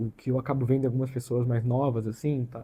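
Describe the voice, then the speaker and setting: His speech comes at a fairly quick clip, and the tone is dark and mellow. There is a somewhat breathy quality to this man's voice. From interior of São Paulo state, Brazil (Catanduva). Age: 30s. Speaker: YouTuber, computer engineer. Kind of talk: casual vlog introduction. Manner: hesitant, filler-heavy casual speech.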